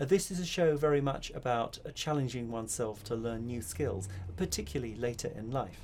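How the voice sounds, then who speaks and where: Somewhat breathy and at a medium pitch, a man talks at a fairly quick pace with very wide pitch swings. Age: 50s. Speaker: spoken word artist. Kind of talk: casual talk to camera.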